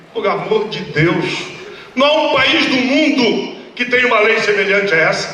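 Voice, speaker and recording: A man's extremely high, raised and projected voice, animated in tone with lively intonation at a fairly slow pace, amid noticeable background noise and audible room echo. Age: 60s. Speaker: politician. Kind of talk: political rally speech. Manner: animated, emphatic.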